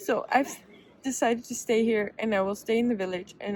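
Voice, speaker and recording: Speaking at a moderate pace with a Dutch accent, a woman keeps her fairly high pitch to fairly even intonation over noticeable background noise. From Netherlands. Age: 20s. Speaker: travel vlogger. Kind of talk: vlog monologue. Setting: outdoors on a bench.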